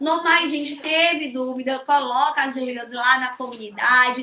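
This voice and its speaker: A woman speaks at a fairly slow pace in a raised, projected voice. Audible room echo surrounds her. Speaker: social security law teacher. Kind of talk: online lecture. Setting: live stream.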